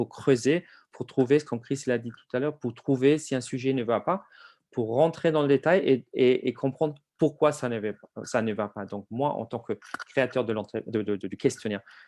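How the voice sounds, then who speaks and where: A man speaks at a moderate pace and medium pitch, with ordinary pitch variation. The sound is dry and close with no echo, and the background is quiet. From outside France. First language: not French (speaking French). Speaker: HR survey software presenter. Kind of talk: webinar presentation. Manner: hesitant, many fillers.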